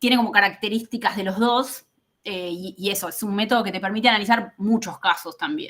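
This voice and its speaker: The woman's voice sits fairly high, with ordinary pitch variation. She goes at a fairly quick pace. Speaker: political scientist. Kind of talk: academic talk. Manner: fast.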